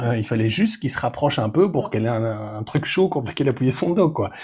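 A man's somewhat breathy, dark, mellow voice at medium pitch, fairly quick in pace with very wide pitch swings. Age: 40s. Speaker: web developer and separated father. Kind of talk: interview testimony. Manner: halting, many fillers.

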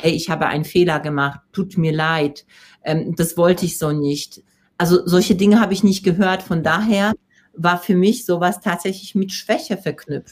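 With a Polish accent, a woman talks at a fairly slow pace in a somewhat breathy voice. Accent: Polish accent, rolled r. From Poland. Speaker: personal development coach and speaker. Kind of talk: interview. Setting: live video stream.

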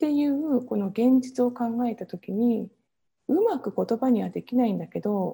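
A woman's high, dark and mellow voice at a fairly slow pace, with ordinary pitch variation and a very clean recording over a silent background. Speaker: Ayurveda coach and entrepreneur. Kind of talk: interview.

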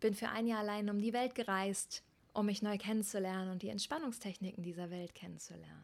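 The pace is fairly quick. The pitch shows ordinary variation. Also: woman. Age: 30s. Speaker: podcast host, yoga teacher. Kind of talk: solo monologue podcast. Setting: outdoors on Pacific coast. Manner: animated.

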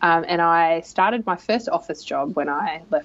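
A woman with an Australian accent speaks at a fairly low pitch with ordinary pitch variation. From rural Australia. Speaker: leadership coach and consultant. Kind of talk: interview.

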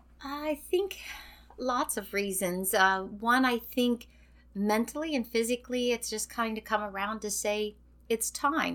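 Here is a woman with an ordinary speaking voice, fairly high in pitch, talking at a fairly slow pace with ordinary pitch variation. The recording is very clean, with a silent background. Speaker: retiring educator. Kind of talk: interview.

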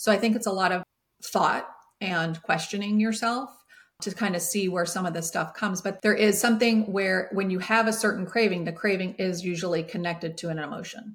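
A woman's somewhat breathy, medium-pitched voice at a fairly quick pace, with fairly even intonation. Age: 50s. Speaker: holistic health coach, former educator. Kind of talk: casual interview chat.

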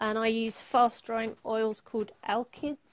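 Speaking at a moderate pace, a woman with a fairly high pitch talks in a London accent. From London, England. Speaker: painter and illustrator. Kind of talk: casual interview chat.

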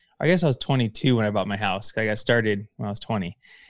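Recorded very cleanly against a silent background, with a dry, close sound and no echo, a man speaks with fairly even intonation. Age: 30s. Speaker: real estate investor. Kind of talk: interview podcast. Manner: halting.

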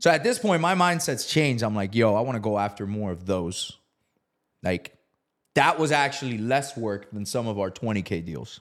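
Lively intonation marks this man's unremarkable speaking voice, which sits at medium pitch and moves at a moderate pace. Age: 30s. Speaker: real estate investor. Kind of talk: casual interview, storytelling.

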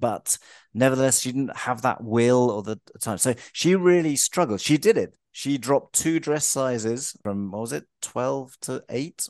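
A man speaks at a medium pitch with hardly any pauses. The sound is dry and close, with no echo. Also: ordinary pitch variation, fairly slow pace, quiet background. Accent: London. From London, England. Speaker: health and life coach. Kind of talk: interview.

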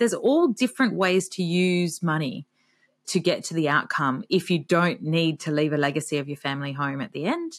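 Recorded very cleanly with a silent background and a dry, close sound with no echo, a woman with an Australian accent speaks at a moderate pace in a fairly low voice. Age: 40s. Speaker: author and retirement expert. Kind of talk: interview.

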